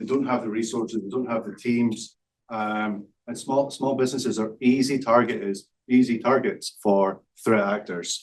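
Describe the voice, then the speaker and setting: A man with a Scottish accent speaks at medium pitch. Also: ordinary pitch variation, moderate pace. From Scotland. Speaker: startup founder, cybersecurity. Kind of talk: business pitch presentation. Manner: hesitant, many fillers.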